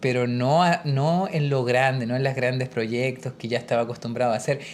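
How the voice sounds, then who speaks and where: With ordinary pitch variation, a man holds a medium pitch. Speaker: worship pastor and podcast co-host. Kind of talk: casual conversation. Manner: halting, with repeated words; quiet.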